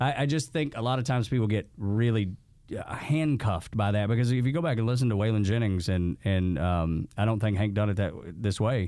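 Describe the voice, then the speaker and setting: In a plain, everyday voice, a man speaks at a fairly quick pace and fairly low pitch with lively intonation and very even loudness. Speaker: podcast host. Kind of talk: casual interview chat.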